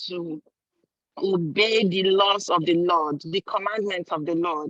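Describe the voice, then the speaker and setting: A woman speaks in an ordinary speaking voice at a fairly slow pace with ordinary pitch variation. The sound is dry and close, with no echo. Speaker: conference participant. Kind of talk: online forum contribution. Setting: stepped aside from a meeting.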